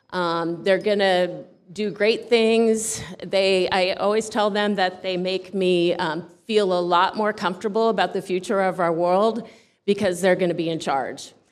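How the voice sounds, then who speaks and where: A woman talks at a fairly slow pace. Her medium pitch holds a fairly even intonation. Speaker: high school pathway instructor. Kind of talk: award ceremony speech. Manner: loud; halting with fillers.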